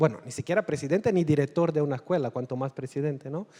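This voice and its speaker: A man with a Portuguese accent has a dark, mellow tone at a fairly high pitch, with ordinary pitch variation. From Angola. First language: Portuguese (speaking Spanish). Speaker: novelist. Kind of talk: panel discussion at literary festival. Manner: halting, non-native Spanish.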